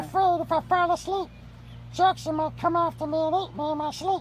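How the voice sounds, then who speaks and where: Someone uses a put-on character voice at a fairly quick pace over clear background noise. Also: woman, extremely high pitch for a woman. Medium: role play. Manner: sassy, dramatic.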